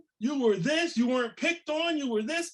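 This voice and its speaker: Shouting loudly at an extremely high pitch, a man sounds animated, with ordinary pitch variation. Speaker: motivational speaker on fatherhood and reentry. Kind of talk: conference presentation. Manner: loud, yelling; animated, high energy.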